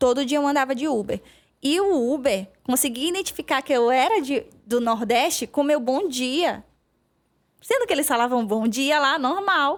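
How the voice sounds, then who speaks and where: Speaking with a strong northeastern Brazilian accent, a woman uses a high pitch and lively intonation. Her pace is moderate. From Maranhão, northeast Brazil. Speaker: veterinarian. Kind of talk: podcast interview.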